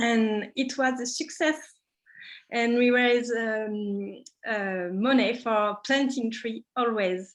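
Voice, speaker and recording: At a very slow pace, a woman with a French accent speaks at a fairly high pitch with ordinary pitch variation against a quiet background. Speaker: craft workshop leader. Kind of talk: casual online talk. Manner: halting.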